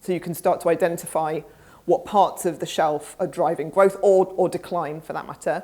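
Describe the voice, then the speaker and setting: A speaker with a British accent and a dark, mellow tone, using fairly even intonation. The recording is very clean, with a silent background. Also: woman, fairly low pitch for a woman. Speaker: conference speaker, research executive. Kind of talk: conference presentation and Q&A. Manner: fast.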